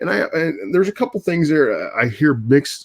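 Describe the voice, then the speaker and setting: A man's voice, dry and close with no echo, over a quiet background. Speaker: YouTuber discussing movies and games. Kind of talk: live stream commentary. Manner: halting, many fillers.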